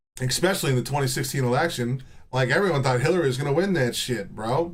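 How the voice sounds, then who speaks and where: A man talks very fast at a medium pitch, somewhat breathy, with ordinary pitch variation, very even loudness and audible room echo. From Texas. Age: 30s. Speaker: livestreamer. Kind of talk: casual chat. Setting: live stream. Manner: animated.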